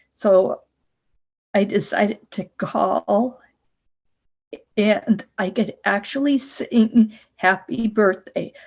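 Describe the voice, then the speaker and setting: Very slowly and with long, frequent pauses, a woman speaks in a fairly high, somewhat breathy voice with ordinary pitch variation. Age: 70s. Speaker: person with spasmodic dysphonia. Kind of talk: testimony.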